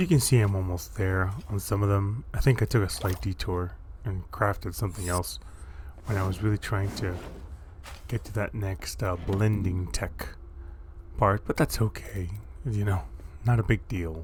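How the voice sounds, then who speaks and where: A relaxed, somewhat breathy man's voice at fairly low pitch, moderate pace and ordinary pitch variation, with long, frequent pauses. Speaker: gaming YouTuber. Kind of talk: gameplay commentary. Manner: relaxed, casual.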